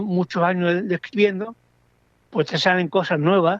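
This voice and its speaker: A man talks at a high pitch and a fairly quick pace with fairly even intonation. The sound is dry and close, with no echo. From Andalusia, Spain (Andújar, Jaén). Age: 70s. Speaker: poet. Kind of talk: interview. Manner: halting, with repetitions and fillers.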